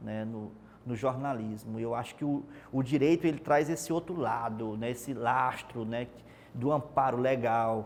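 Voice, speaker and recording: Here a man speaks at a medium pitch with ordinary pitch variation. His pace is fairly slow. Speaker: TV reporter, journalist. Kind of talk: interview. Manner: hesitant, repeats words.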